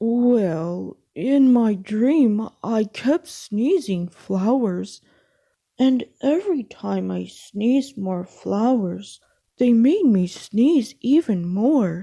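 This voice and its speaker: Putting on a character voice, a woman speaks at a very slow pace. Her pitch is fairly high. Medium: read story.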